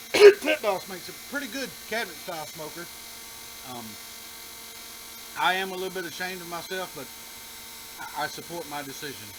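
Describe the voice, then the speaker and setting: Speaking with an Alabama accent over noticeable background noise, a man with high pitch moves at a fairly quick pace, with very wide pitch swings, big swings in loudness, and long, frequent pauses. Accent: Southern US (Alabama). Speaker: home cooking show host. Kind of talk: casual cooking tutorial. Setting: outdoors by a grill.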